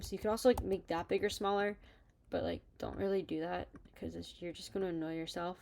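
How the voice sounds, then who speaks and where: A woman speaks at a fairly quick pace. Her pitch varies in an ordinary way. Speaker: student newspaper editor. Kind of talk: tutorial. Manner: fast; casual, filler-heavy.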